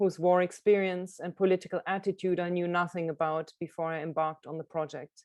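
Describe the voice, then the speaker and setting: A woman with a German accent speaks fairly quickly with hardly any pauses, a fairly low pitch and flat, monotone intonation in a dry, close sound with no echo. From Germany, Karlsruhe. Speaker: illustrator and author. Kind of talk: book presentation talk.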